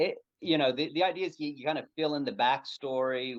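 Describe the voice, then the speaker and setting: An American accent marks a man's ordinary speaking voice, which moves at a fairly quick pace with ordinary pitch variation. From United States. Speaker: pastor and author. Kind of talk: interview conversation.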